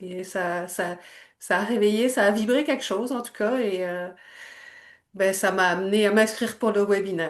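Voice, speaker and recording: Speaking with a Quebec accent, a woman keeps a moderate pace with long, frequent pauses and ordinary pitch variation. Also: medium pitch for a woman. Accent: Québécois French. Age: 60s. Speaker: energy healer. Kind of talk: testimony. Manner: halting.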